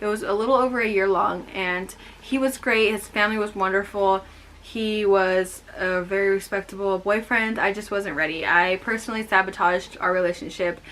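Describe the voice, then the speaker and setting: A woman with a Californian accent and fairly even intonation, noticeable background noise behind her. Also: medium pitch for a woman, moderate pace. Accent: American, Californian. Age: 20s. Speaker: vlogger. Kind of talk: personal testimony vlog. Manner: casual, with fillers.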